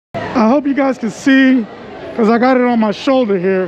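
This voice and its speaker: With crowd noise in the background and audible room echo, a woman speaks at a moderate pace with a fairly high pitch and ordinary pitch variation. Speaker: street photographer vlogger. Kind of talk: casual vlog narration. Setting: outdoors on city street at night. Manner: casual, filler words. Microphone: muffled by mask.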